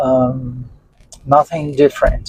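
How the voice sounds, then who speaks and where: The recording of a man's fairly high-pitched voice is dry and close, with no echo. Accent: Portuguese. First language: Portuguese. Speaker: interviewee on UFO experiences. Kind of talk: interview testimony. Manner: halting, with frequent fillers.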